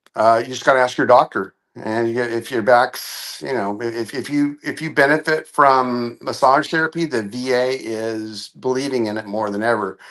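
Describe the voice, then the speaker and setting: A normal speaking voice from a man, medium in pitch, at a fairly slow pace with fairly even intonation over a quiet background. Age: 60s. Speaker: veteran. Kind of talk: casual chat.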